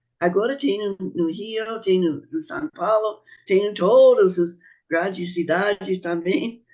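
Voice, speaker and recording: The speech is very slow. The speaker has a non-native accent. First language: not Portuguese (speaking Portuguese). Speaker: speaker on Bahá'í teachings. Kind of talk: panel talk. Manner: halting.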